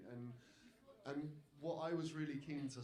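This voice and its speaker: Moderate-paced male speech with ordinary pitch variation, noticeable background noise and audible room echo. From Britain. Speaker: democracy campaigner, panelist. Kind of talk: panel talk. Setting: stage with audience. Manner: repetitive false starts.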